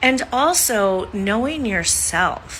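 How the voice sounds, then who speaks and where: A woman speaks with vocal fry, lively intonation and a bright, sharp tone. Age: 60s. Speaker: social media creator. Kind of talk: casual vlog monologue.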